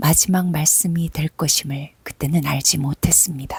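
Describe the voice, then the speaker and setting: A woman's very deep, low, somewhat breathy voice, with fairly even intonation, a fairly slow pace, and a dry, close sound with no echo. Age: 50s. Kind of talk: reading her own personal essay aloud. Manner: soft-spoken, emotional.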